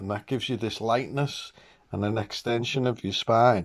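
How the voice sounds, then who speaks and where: A man with a British accent over a quiet background. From England. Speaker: vlogger. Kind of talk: casual monologue. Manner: animated, excitable. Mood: upbeat, enthusiastic. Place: home room. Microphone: phone near.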